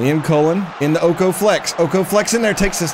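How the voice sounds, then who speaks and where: Someone with an American accent talks at a moderate pace. Crowd noise fills the background. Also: man. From United States. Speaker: gaming streamer. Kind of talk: live game commentary. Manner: animated. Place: home room.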